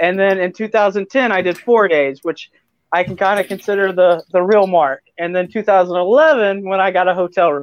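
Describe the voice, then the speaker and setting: Speaking at a moderate pace, a man uses a high pitch with ordinary variation. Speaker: cosplay photographer. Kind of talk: casual chat. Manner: soft-spoken.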